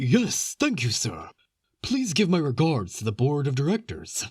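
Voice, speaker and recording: In a put-on character voice of low-to-middle pitch, the speaker moves at a moderate pace on a very clean recording with a silent background. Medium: read story. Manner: polite, deferential.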